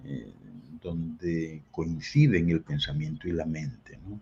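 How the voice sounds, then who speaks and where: A somewhat breathy man's voice with very wide pitch swings over a quiet background. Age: 70s. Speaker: guest speaker on esoteric topics. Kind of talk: interview talk. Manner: hesitant, with fillers.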